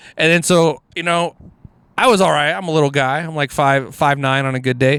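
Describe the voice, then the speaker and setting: A man's animated, fairly quick delivery with an American accent, fairly high in pitch, with ordinary pitch variation. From Houston, Texas (Alief). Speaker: comedian. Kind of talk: casual chat.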